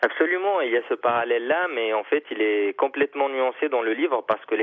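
A normal speaking voice at a fairly quick pace. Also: man. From Tunisia. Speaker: novelist. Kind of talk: interview.

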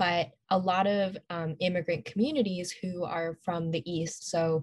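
Somewhat breathy and fairly low-pitched, a woman talks with an American accent and ordinary pitch variation. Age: young. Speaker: student activist. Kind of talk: casual interview.

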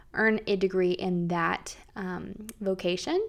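Over a silent background in a very clean recording, a woman with an American accent speaks at a very slow pace. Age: 30s. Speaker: podcast host, stay-at-home mom. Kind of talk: casual faith talk monologue.

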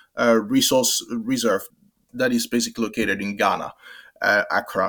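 A man at a fairly slow pace with very wide pitch swings and a slight French accent, on a very clean recording with a silent background. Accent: French undertone. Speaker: development worker. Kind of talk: interview. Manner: halting, many fillers.

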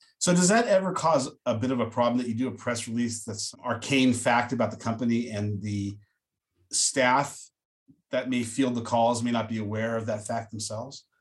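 A man talks at a moderate pace in a plain, everyday voice. His pitch sits in the medium range, with fairly even intonation. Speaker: podcast host. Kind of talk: interview.

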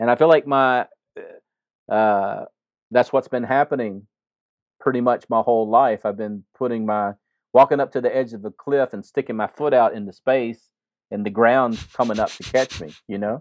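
Over a quiet background, a man at medium pitch speaks at a moderate pace with ordinary pitch variation, big swings in loudness and long, frequent pauses, the sound dry and close with no echo. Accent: Mississippi. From US South, Jackson, Mississippi. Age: 50s. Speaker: imam and chaplain. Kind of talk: interview conversation. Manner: halting, frequent repetitions.

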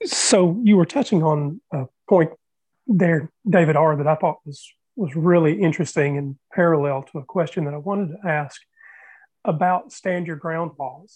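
With an American accent, a man speaks in a plain, everyday voice, fairly high-pitched, at a moderate pace with ordinary pitch variation. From US Southeast. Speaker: panelist. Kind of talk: panel discussion.

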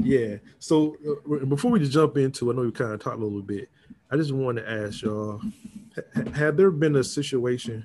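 A man with a normal speaking voice and an American accent, medium in pitch, at a moderate pace with lively intonation. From Norfolk, Virginia. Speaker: podcast host. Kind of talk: casual chat.

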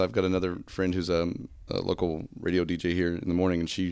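Over a silent background in a very clean recording, a man talks at a fast pace in a low voice with vocal fry.

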